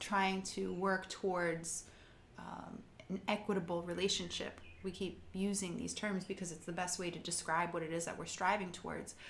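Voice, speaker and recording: A woman's medium-pitched, somewhat breathy voice with audible room echo. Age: 40s. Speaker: podcast co-host. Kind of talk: scripted narration; casual chat.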